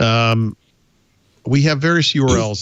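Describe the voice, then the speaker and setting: This man has a normal speaking voice and talks at a moderate pace. His pitch varies in an ordinary way. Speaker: podcast co-host promoting own book. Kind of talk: casual, joking.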